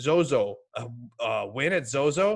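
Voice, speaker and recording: A man talks in an animated tone. The background is quiet. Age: 30s. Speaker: fantasy golf podcast host. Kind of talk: casual chat. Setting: garage.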